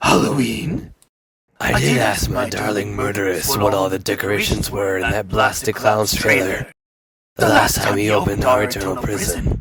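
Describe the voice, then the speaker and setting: At a moderate pace, a man uses a put-on character voice pitched fairly low. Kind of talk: archaic formal speech. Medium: comedy sketch. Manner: cold, formal, menacing.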